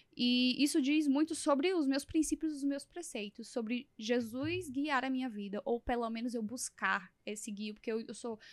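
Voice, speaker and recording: In a dry, close recording with no echo, a woman speaks at a moderate pace in a high voice with ordinary pitch variation. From Brazil, São Luís do Maranhão. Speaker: podcast host. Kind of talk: interview conversation.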